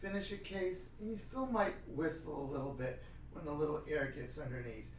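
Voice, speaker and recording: A man with an American accent talks at a moderate pace amid noticeable background noise and audible room echo. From New York City, Brooklyn. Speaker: dentist. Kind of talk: interview.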